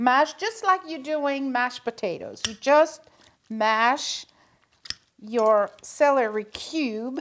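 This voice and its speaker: A woman speaks with a French accent and a warm tone. Her pitch is high. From Belgium. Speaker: home cooking host. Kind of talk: cooking tutorial. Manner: chatty, warm.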